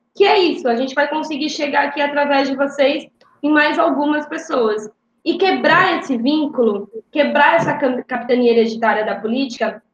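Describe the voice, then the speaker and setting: A high-pitched woman's voice with ordinary pitch variation. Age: 30s. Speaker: city council candidate. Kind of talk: interview.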